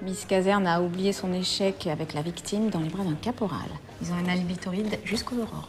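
Music plays behind a woman's voice. She keeps a fairly even intonation at a fairly quick pace. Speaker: actress. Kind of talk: TV drama scene. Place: office.

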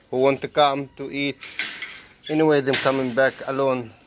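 Speaking at a moderate pace with an Egyptian accent, a man is heard over noticeable background noise. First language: Arabic. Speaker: vlogger and animal keeper; vlogger. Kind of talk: casual vlog narration. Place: farm. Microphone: phone near.

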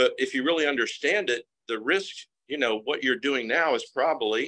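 In the background there is quiet. A man talks at a moderate pace. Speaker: coach or group leader. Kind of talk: live group discussion. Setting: group video call. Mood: encouraging, motivational. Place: home room. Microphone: video call.

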